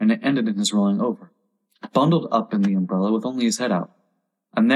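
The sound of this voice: A quiet background beneath an unforced reading voice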